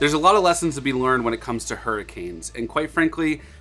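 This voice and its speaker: A man speaks with faint music in the background. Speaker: boat owner vlogger. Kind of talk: casual vlog chat. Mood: reflective, serious. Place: boat.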